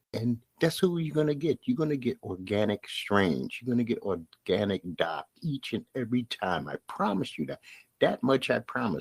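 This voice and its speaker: In an American accent, a man at medium pitch speaks at a moderate pace with very wide pitch swings and vocal fry, recorded dry and close with no echo. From Brooklyn, New York. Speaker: podcast host. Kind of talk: podcast monologue. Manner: plain, no put-on inflection.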